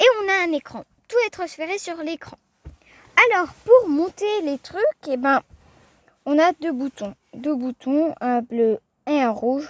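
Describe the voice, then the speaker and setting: A woman speaks at a very slow pace and a high pitch, leaving long, frequent pauses. Her pitch swings very widely, and the sound is dry and close with no echo. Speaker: car video youtuber. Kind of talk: casual car review vlog. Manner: casual, hesitant with fillers.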